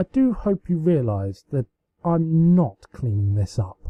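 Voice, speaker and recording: A man puts on a character voice at a fairly high pitch. He goes at a fairly slow pace with very wide pitch swings. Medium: read story. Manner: warm, teasing.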